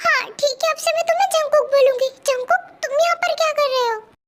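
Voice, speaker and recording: A woman's put-on character voice, extremely high, with very wide pitch swings, very even loudness and a fairly quick pace. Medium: read story. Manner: soft, hesitant.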